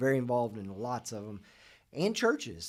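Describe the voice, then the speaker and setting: At a fairly quick pace, a man talks in an ordinary speaking voice at a medium pitch, on a very clean recording with a silent background. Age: 40s. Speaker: podcast host. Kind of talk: interview.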